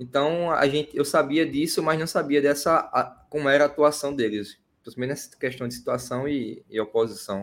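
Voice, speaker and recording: A man speaks at a fairly quick pace with a fairly high pitch and ordinary pitch variation. His loudness swings widely. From Pernambuco, Brazil. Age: 20s. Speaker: political activist and student. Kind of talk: casual interview. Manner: hesitant, repeats words.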